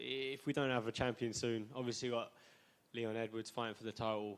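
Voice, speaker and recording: This man has a Suffolk accent and a medium pitch. His delivery is fairly quick, with fairly even intonation. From England, Suffolk. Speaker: MMA fighter. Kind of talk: press conference answers. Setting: press conference. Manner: casual.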